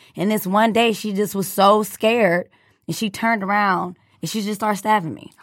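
A medium-pitched female voice at a moderate pace with monotone, flat intonation, in a very clean recording with a silent background. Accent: American. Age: 20s. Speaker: former student. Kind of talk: casual interview.

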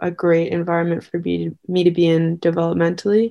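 Against a quiet background, a woman with a Canadian accent talks at a moderate pace. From Victoria, British Columbia, Canada. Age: 20s. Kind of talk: interview. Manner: halting, many fillers.

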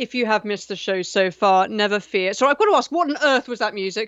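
A woman speaks at a fairly quick pace with lively intonation and a fairly high pitch. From England. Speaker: radio host. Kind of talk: radio dj patter. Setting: phone-in radio show. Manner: chatty, flustered, stammering.

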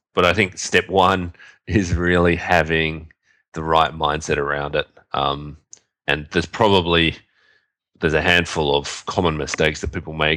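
The tone is bright and sharp, at a moderate pace with long, frequent pauses, on a very clean recording with a silent background. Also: man, very deep, low pitch for a man, fairly even intonation. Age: 30s. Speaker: podcast co-host, SEO marketer. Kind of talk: casual chat.

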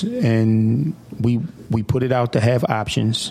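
A man speaks at a medium pitch with an American accent. Background noise is noticeable. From US Northeast, Atlantic City, New Jersey. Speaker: city council president. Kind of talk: radio interview. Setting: radio studio.

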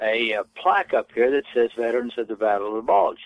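A man with an ordinary speaking voice keeps to a medium pitch, varying it in an ordinary way.

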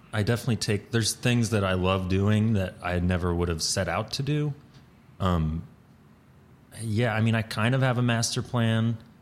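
An unremarkable speaking voice with an American accent goes at a moderate pace. Its loudness stays very even, with ordinary pitch variation. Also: man, fairly low pitch for a man. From US South, Atlanta, Georgia. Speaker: improv comedian. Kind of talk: casual interview.

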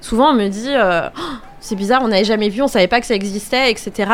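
Speaking at a fairly quick pace, a woman uses an ordinary speaking voice with fairly high pitch and ordinary pitch variation. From France, Angers. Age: 30s. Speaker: children's educator and event business owner. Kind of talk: radio interview.

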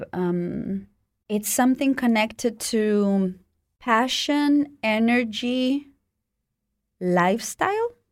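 Speaking at a very slow pace with long, frequent pauses, a woman with a Spanish accent keeps a fairly high pitch and ordinary pitch variation. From Mexico. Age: 30s. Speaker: dancer and performance artist. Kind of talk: interview. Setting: studio. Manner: halting.

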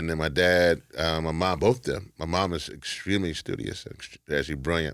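The delivery comes at a moderate pace in an American accent. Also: man, very deep, low pitch for a man, ordinary pitch variation, very clean recording, silent background. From Louisiana, US South. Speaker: activist and organization leader. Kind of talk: interview, personal life story.

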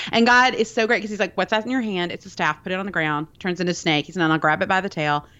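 Speaking at a very fast pace with hardly any pauses, a woman with a Southern US accent keeps a medium pitch and ordinary pitch variation. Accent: Southern American. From US South, Birmingham, Alabama. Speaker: podcaster and cake pop baker. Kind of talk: casual chat.

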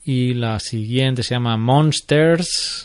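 A man's medium-pitched voice, fairly even in intonation, over a quiet background. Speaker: podcast host. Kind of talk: casual chat.

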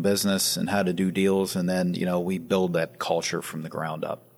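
Using a very deep, low pitch, a man with an American accent talks at a fairly quick pace. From Western Pennsylvania (Sharon). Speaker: private equity founder. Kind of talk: interview. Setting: office.

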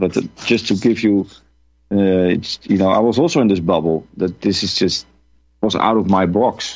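A man's very deep, low pitch with ordinary pitch variation. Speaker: whistleblower, former pilot. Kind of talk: interview.

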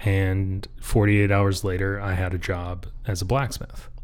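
Fairly slow and fairly low, a man with an American accent speaks in a plain, everyday voice with fairly even intonation. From Michigan. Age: 30s. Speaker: blacksmith. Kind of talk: casual interview chat.

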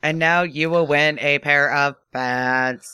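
A put-on character voice, robotic and low-to-middle in pitch, delivered at a fairly slow pace. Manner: robotic, announcer-like.

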